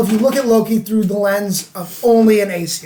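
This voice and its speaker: A high-pitched man's voice with an American accent at a moderate pace, over noticeable background noise. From US South. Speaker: podcast co-host. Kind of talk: casual chat.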